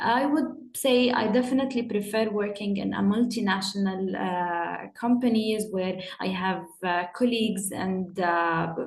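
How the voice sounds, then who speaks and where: A woman speaks at a medium pitch with ordinary pitch variation and a fairly slow pace. She leaves hardly any pauses, and audible room echo can be heard. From UAE, Jordanian family. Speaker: panel guest. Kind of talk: panel discussion. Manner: halting, with repetitions.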